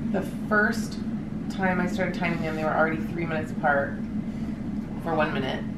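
Over loud background noise, a woman speaks at a fairly quick pace in a weary tone with ordinary pitch variation. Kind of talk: casual vlog chat. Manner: weary, drowsy post-labor voice. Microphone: camera far.

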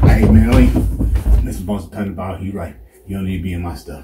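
Over noticeable background noise, a man talks at a fairly quick pace in a very deep, low voice. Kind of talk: comedic acted monologue. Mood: nervous, placating, joking. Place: home room. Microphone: camera far.

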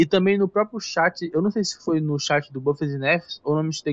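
Moderate pace from a high-pitched man. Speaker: gaming YouTuber. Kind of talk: casual video commentary. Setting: home recording on laptop.

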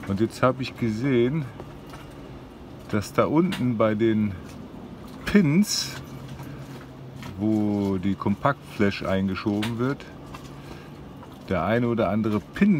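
A man speaks very slowly with long, frequent pauses, in a dry sound with no echo and light background noise. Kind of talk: casual vlog chat. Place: boat. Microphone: phone near.

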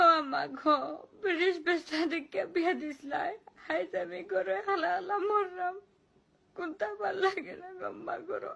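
In a Sylheti accent, a woman speaks at an extremely high pitch with lively intonation. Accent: Sylheti Bengali. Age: 20s. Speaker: vlogger. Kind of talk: emotional monologue. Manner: plaintive.

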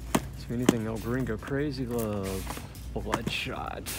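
Very slow speech, dry with no echo, with music in the background. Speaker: shopper vlogger. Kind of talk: casual vlog chat. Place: shop. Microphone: phone near.

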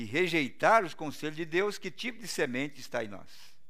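A man with a Brazilian accent talks at a moderate pace in a bright, sharp tone against a quiet background. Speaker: pastor. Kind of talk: sermon. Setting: church. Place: church.

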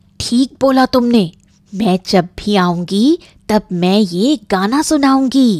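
A put-on character voice at a very slow pace. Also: female-sounding voice, fairly high pitch for a woman. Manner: caring, protective.

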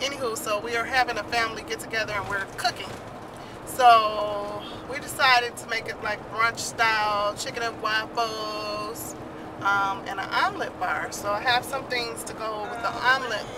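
A woman at a moderate pace, fairly even in intonation, dry with no echo, over noticeable background noise. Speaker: family vlogger. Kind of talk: casual vlog chat. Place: car. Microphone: phone near.

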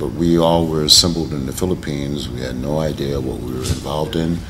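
A man with an American accent speaks at a fairly quick pace in a very deep, low voice over noticeable background noise. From United States. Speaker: actor. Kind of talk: interview answer. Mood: relaxed, reflective. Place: hall. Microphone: camera far.

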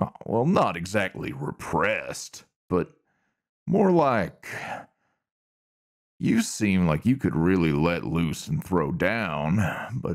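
A put-on character voice moves at a very slow pace, with long, frequent pauses. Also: man, very deep, low pitch for a man. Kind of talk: ASMR roleplay audio. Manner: flirtatious, teasing.

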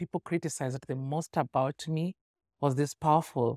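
A woman talks at a moderate pace. The background is quiet and the sound is dry, with no echo. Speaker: interview guest, singer. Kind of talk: casual interview answer, conversational. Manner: animated, storytelling. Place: studio. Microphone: studio mic.

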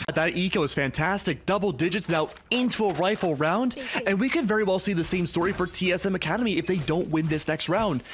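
Talking at a fairly quick pace with hardly any pauses, a man keeps very even loudness and ordinary pitch variation. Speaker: esports color commentator. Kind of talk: live esports match analysis. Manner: analytical, explanatory.

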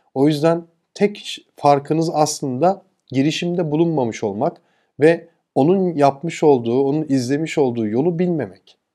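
Over a quiet background, a man's fairly high voice has a dark, mellow tone and lively intonation. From Turkey. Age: 40s. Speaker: e-commerce entrepreneur and YouTuber; YouTuber. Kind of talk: motivational talk. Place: home room. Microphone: lapel.

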